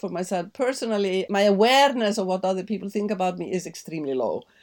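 On a very clean recording with a silent background, a woman with an Icelandic accent speaks at a fairly high pitch with ordinary pitch variation. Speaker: journalist and novelist. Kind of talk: interview.

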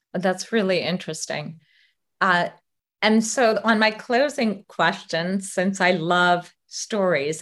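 The woman has an unremarkable speaking voice with ordinary pitch variation. She talks at a fairly slow pace. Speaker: podcast host and legacy coach. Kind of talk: interview, intro.

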